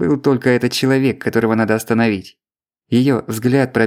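Plain reading aloud with fairly even intonation plays against a quiet background.

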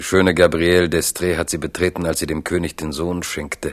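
A man speaks in a low voice at a moderate pace with little pitch movement. The recording is very clean, with a silent background.

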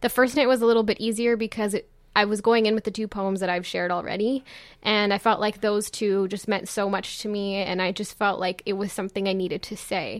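Her intonation is monotone and flat as a woman speaks at a fairly quick pace in a medium pitch. The recording is very clean, with a silent background. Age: 20s. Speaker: slam poet. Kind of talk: interview chat with poetry performance.

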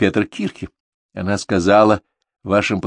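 Delivered in a natural reading voice, the clip has a quiet background.

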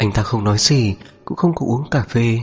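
Someone reads aloud naturally, and the pitch moves up and down in an ordinary way.

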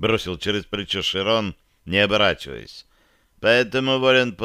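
Text is being read out loud. The delivery is plain.

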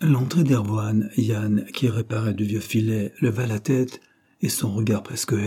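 Someone reads aloud in a natural voice. The intonation stays fairly even.

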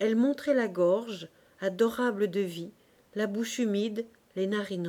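The speaker reads. The voice is a natural reading voice.

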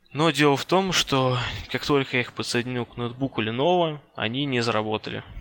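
Over noticeable background noise, a man talks at a fairly quick pace with a medium pitch, ordinary pitch variation and big swings in loudness. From Russia, Ryazan. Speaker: network engineer. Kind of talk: interview.

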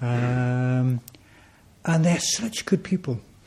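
A man's somewhat breathy, dark and mellow voice moves with ordinary pitch variation. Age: 50s. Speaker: Buddhist order member being inaugurated as centre president. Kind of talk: personal talk to a community gathering. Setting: shrine room with audience.

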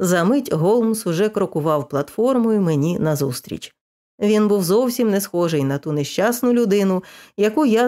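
A quiet background behind lively intonation, read aloud in a natural voice

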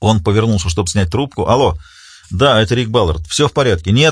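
With lively intonation, the speaker uses a natural reading voice.

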